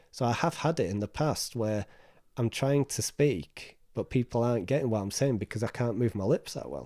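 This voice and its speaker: A man with a northern English accent, medium pitch, a dark, mellow tone and a dry, close sound with no echo. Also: moderate pace, very clean recording, silent background. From northern England. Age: 30s. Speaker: mental health charity trustee. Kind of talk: interview. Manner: repetitive, halting.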